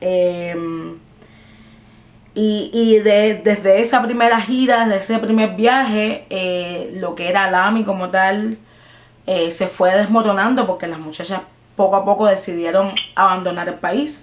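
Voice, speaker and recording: A woman in a normal speaking voice, with a medium pitch, ordinary pitch variation and a fairly slow pace. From Cuba. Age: 20s. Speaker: jazz singer-songwriter. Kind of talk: interview answer. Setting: video call.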